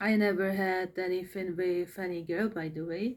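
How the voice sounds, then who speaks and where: A woman with a Czech accent at a fairly slow pace and ordinary pitch variation, in a very clean recording with a silent background. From Czech Republic. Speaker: vlogger. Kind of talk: personal monologue vlog. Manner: halting, many fillers and repetitions.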